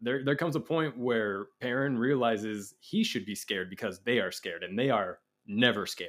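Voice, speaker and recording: On a very clean recording with a silent background, a man has a plain, everyday voice at a medium pitch, moving at a fairly quick pace with ordinary pitch variation. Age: 20s. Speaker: actor and first-time book reader. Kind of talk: casual chat.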